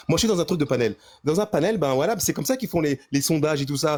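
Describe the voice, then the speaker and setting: Very fast and lively in intonation, a man speaks at a fairly high pitch in a very clean recording with a silent background. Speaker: debate guest. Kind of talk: heated debate. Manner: loud; halting.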